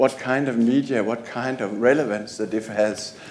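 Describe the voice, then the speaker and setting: A man speaking at a very slow pace. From Denmark. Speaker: library manager. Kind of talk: conference presentation. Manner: halting, many fillers.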